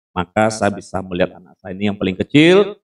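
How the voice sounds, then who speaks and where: In an ordinary speaking voice, a man talks at a fairly low pitch and a fairly quick pace, with a dry, close sound and no echo. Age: 60s. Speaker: pastor. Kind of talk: sermon.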